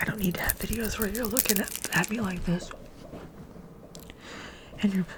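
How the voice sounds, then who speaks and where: Noticeable background noise runs through the clip. The woman's intonation stays fairly even. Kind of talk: ASMR soft-spoken rambles to camera. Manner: fast, chatty, repetitive.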